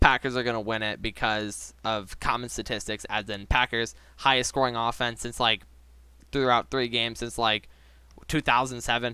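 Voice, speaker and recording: A man speaks with vocal fry in a monotone, flat way at a medium pitch, his tone bright and sharp. The recording is very clean, with a silent background. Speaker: sports YouTuber giving NFL predictions. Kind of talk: casual solo commentary video. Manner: fast.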